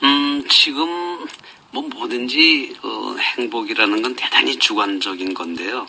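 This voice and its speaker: Noticeable background noise sits behind a man speaking at a very slow pace. His loudness swings widely. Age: 60s. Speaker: rural doctor. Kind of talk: radio interview. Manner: halting.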